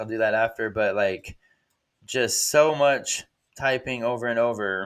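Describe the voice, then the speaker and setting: The recording is very clean with a silent background, carrying a man with an unremarkable speaking voice. He talks at a fairly slow pace and medium pitch with fairly even intonation. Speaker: hobbyist game programmer. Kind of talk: coding tutorial. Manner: casual with many fillers.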